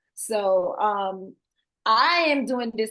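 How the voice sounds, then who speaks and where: Against a quiet background, the speaker uses lively intonation in a strong Haitian accent. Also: woman. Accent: heavy Haitian. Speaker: assisted living facility owner. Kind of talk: interview.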